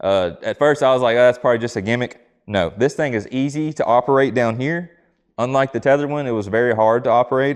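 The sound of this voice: A man's medium-pitched voice, clear and smooth in tone, at a fast pace with ordinary pitch variation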